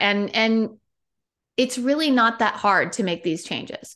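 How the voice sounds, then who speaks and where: A woman with a plain, everyday voice, a fairly high pitch, ordinary pitch variation and a moderate pace, against a quiet background. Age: 40s. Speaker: wellness coach. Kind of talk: casual interview chat.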